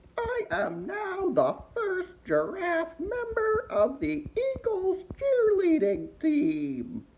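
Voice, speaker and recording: At a very slow pace, a put-on character voice speaks with an extremely high pitch. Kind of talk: comedic holiday greeting to camera. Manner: sassy, mouthy.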